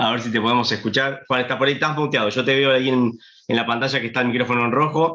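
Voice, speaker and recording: A man runs through his words at a very fast pace in a medium pitch, his intonation fairly even. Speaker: sommelier. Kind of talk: online wine tasting host chat.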